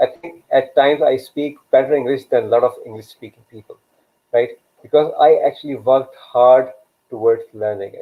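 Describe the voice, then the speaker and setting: The speaker talks at a moderate pace with a Pakistani accent. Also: man, big swings in loudness. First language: Urdu. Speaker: career coach and live show host. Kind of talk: live stream talk. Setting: online live video session. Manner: hesitant, many fillers.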